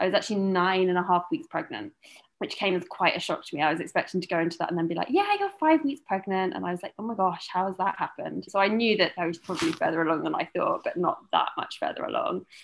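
A woman with a British accent at a very fast pace, with hardly any pauses. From UK. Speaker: new mother, film publicist. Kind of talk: interview, birth story.

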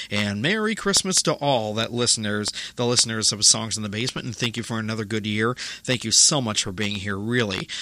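At a fairly quick pace, a normal speaking voice delivers the words with fairly even intonation. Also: man, medium pitch for a man. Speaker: radio host. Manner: casual, rambling, chatty with filler 'uh' and small jokes; warm, friendly sign-off tone, thanking listeners.

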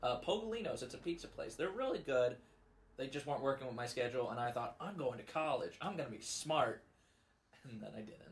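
Lively in intonation and somewhat breathy, a man speaks at a very fast pace. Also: medium pitch for a man. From US Midwest, Missouri (Festus). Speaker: podcast co-host. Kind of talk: casual chat.

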